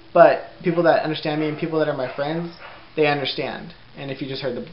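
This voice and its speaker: Delivery runs at a fairly quick clip. Noticeable noise sits in the background. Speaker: vlogger. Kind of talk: casual chat. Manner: animated.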